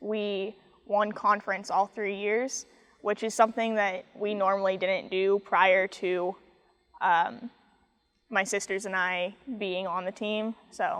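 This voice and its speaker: Against a quiet background, a woman with an American accent speaks very slowly at a medium pitch. Her intonation stays monotone and flat. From US Midwest, Kansas City area. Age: 20s. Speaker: college athlete, golfer. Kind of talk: interview.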